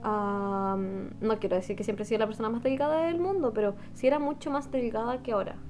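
With music in the background, a woman with a fairly high pitch and lively intonation speaks at a fairly quick pace with hardly any pauses. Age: 20s. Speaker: podcast co-host. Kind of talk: casual chat.

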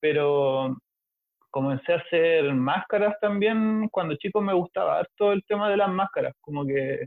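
A man with a Chilean accent speaks at a fairly slow pace, his pitch high and his intonation lively. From Chile, Valparaíso. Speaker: collage artist. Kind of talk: casual chat.

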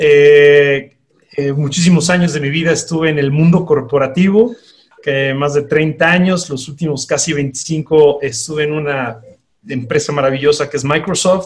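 A man's fairly slow pace of speech. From Panama, then Mexico from secondary school. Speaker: life coach. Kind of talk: interview.

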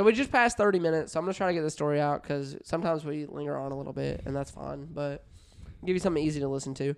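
A man's fairly high pitch with ordinary pitch variation, at a very fast pace. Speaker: podcast co-host. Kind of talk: casual chat.

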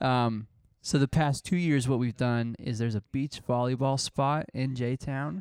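A man with a plain, everyday voice speaks fairly slowly at a medium pitch with ordinary variation, on a very clean, dry, close recording with no echo and a silent background. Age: 20s. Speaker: podcast co-host. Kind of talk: casual chat.

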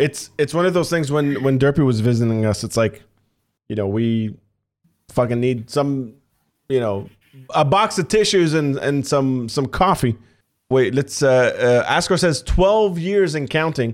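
Using an ordinary speaking voice, a man talks at a fairly slow pace with a fairly high pitch. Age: 30s. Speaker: podcast host and streamer. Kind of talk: casual chat.

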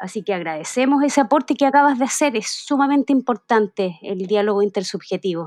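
A woman with a Chilean accent at a fairly quick pace and fairly high pitch, with lively intonation, hardly any pauses, and a dry, close sound with no echo. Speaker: community radio host. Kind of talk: radio interview. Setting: community radio studio.

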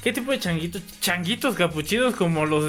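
Animated and fairly quick, with lively intonation in a Mexican accent. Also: man. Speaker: podcast host. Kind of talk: casual chat.

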